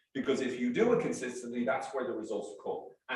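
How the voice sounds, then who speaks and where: There is audible room echo as a man with an American accent speaks with ordinary pitch variation. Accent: Irish, with some New York. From Ireland, Dublin. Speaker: sales trainer. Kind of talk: workshop presentation. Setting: stage with audience.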